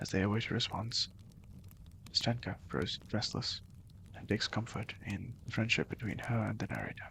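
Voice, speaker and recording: A man speaks at a fairly quick pace in a medium pitch, with vocal fry. His intonation is flat and monotone. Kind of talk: ASMR book summary reading.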